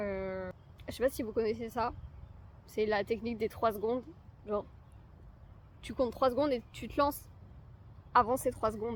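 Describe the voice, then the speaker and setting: Her pitch is fairly high for a woman. Her intonation stays fairly even. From France. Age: young. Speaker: lifestyle vlogger. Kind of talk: casual talk to camera.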